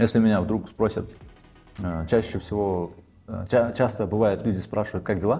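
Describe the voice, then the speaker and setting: Over music in the background, a man with a fairly low pitch talks at a moderate pace with fairly even intonation and long, frequent pauses. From Kyrgyzstan. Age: 30s. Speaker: videomaker and welder. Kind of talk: casual interview.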